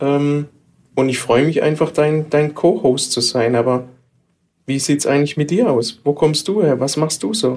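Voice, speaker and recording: A man with a Baden accent speaks at a fairly high pitch with ordinary pitch variation. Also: moderate pace. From Baden, southwest Germany. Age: 40s. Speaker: IT specialist, podcast co-host. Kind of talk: casual chat.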